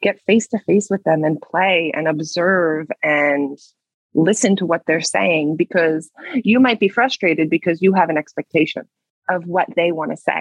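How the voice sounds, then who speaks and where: A woman speaks in a plain, everyday voice at a fairly low pitch. Her pitch varies in an ordinary way. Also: moderate pace. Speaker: speech therapist.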